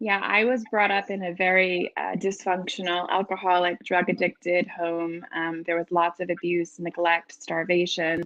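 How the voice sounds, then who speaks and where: A woman with a fairly low pitch speaks at a moderate pace with hardly any pauses. Her intonation is monotone and flat. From New England. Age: 40s. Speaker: author in addiction recovery. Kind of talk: interview testimony.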